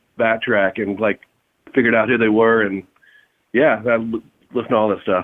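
This is a man speaking with a Texan accent. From Texas, Fort Worth. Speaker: rock singer and guitarist. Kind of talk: casual interview.

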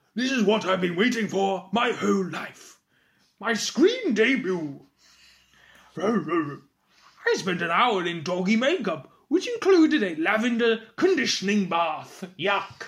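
A put-on character voice at a middle pitch delivers its lines at a fairly slow pace. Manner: haughty, excited.

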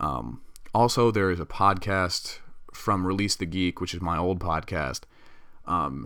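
A man's very deep, low voice with vocal fry and a bright, sharp tone, at a moderate pace. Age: 20s. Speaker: podcast host. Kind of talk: casual monologue. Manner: casual, rambling with fillers.

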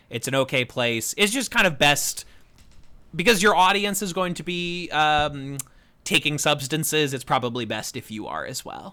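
On a very clean recording with a silent background, a man with a fairly high pitch speaks at a moderate pace in an animated, bright and sharp tone, with lively intonation and big swings in loudness. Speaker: podcast host. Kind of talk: casual chat. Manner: animated, joking.

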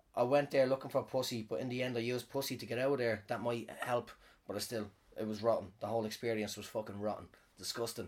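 Fairly even intonation in a normal speaking voice. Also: man. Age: 30s. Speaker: podcaster and comedian. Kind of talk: casual storytelling monologue. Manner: rambling, disfluent, profane.

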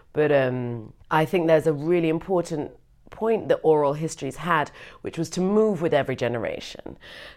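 A woman with a British accent speaks at a fairly quick pace in a very deep, low pitch, with lively intonation. The recording is very clean, with a silent background. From Britain. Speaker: comedian and scholar. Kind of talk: interview conversation.

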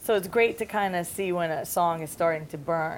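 A woman speaks at a fairly quick pace with a slight New York accent. Her pitch is fairly low. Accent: New York accent, slight now. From Staten Island, New York. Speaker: music industry executive. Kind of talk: interview answers, talk to a student audience. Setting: campus seminar with audience.

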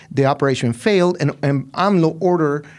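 The recording is very clean and the background silent. A man talks in a Spanish accent. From Mexico, Ciudad Juarez. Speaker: literature professor and author. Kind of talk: interview.

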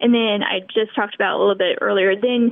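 A woman with an American accent has an ordinary speaking voice, fairly high in pitch. Her intonation stays fairly even. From Kansas. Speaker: missionary volunteer. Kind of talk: interview.

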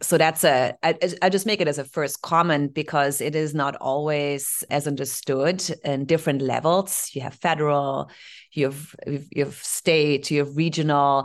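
In a German accent, a woman speaks at a moderate pace with very deep, low pitch and fairly even intonation. The background is quiet. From Germany (Heidelberg). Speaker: solar software sales executive. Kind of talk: interview.

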